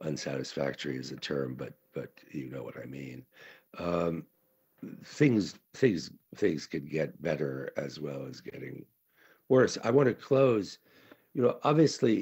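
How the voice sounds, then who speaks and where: A man with a very deep, low pitch and vocal fry speaks at a fairly slow pace, his pitch swinging very widely, with long, frequent pauses. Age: 70s. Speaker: conference speaker, writer. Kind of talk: conference talk. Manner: halting, many fillers.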